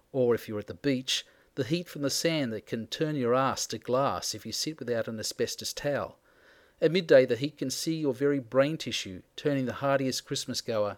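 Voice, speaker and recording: A man with an Australian accent, medium in pitch, fairly quick, with ordinary pitch variation, on a very clean recording with a silent background. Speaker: book reviewer. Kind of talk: reading aloud of personal essay. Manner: wry, sardonic delivery.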